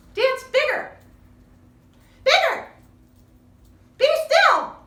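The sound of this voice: A woman's put-on character voice, extremely high with big pitch swings, bright and sharp in tone, at a very slow pace.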